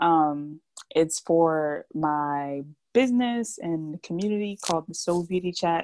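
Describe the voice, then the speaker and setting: A woman speaks in a plain, everyday voice with an American accent. Her pitch is fairly low with ordinary variation, and the sound is dry and close with no echo. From New Jersey. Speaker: podcast co-host. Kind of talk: casual chat.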